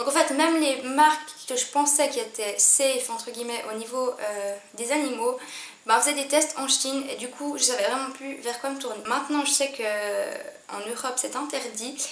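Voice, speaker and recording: At a moderate pace, a woman with a high pitch speaks in fairly even intonation. Audible room echo and noticeable background noise surround her. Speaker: beauty vlogger. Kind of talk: casual vlog talk to camera. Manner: hesitant, many fillers.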